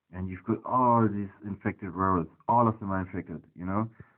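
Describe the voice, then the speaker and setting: With a non-native accent, a man speaks in a fairly low pitch with monotone, flat intonation. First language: not English. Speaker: tech hobbyist investigating network security. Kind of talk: screen-recorded tutorial walkthrough. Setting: at home next to the router. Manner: hesitant, many fillers.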